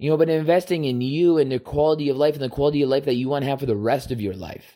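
On a very clean recording with a silent background, a man with a fairly high pitch and a dark, mellow tone talks at a very fast pace. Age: 30s. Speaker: solo podcaster. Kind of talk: casual monologue. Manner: rambling with many fillers.

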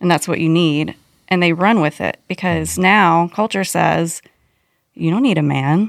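In a very clean recording with a silent background, a woman with an unremarkable speaking voice talks at a fairly slow pace, her fairly low pitch varying in an ordinary way and her loudness very even. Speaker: pastor's wife and former worship leader. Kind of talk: casual chat.

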